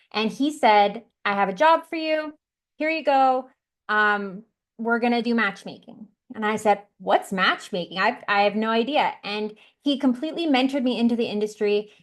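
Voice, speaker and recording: A plain, everyday voice: a woman with a Canadian accent, fairly high pitch, lively intonation and a moderate pace against a quiet background. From Canada, Vancouver. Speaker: matchmaker, dating expert. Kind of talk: interview.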